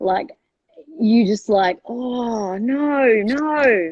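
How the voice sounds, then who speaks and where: A woman speaks in an Australian accent at a fairly high pitch. Her intonation is lively. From Melbourne, Australia. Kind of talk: casual conversational.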